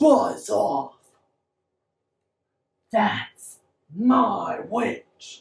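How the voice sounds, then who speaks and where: This put-on character voice is shrill, croaky and growling, pitched fairly high. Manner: fierce, yelling.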